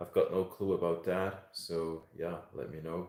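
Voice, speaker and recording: A man with a Swiss German accent, a very deep, low pitch and a monotone, flat intonation. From Switzerland. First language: German (Swiss). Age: 30s. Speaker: live streamer. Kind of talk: casual chat. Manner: halting.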